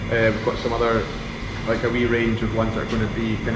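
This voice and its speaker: Over loud background noise, a man rattles along at a very fast pace. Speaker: distillery guide. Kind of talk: tour guide explanation. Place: factory. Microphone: phone near.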